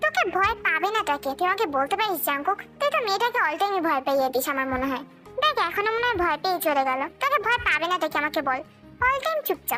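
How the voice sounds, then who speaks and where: Over clear music in the background, a woman puts on a character voice at an extremely high pitch, racing at a very fast pace with very wide pitch swings. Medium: read story. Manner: warm, chatty.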